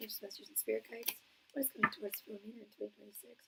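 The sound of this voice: This raspy, put-on character voice rushes along at a very fast pace. Its loudness swings widely. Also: woman, fairly high pitch for a woman.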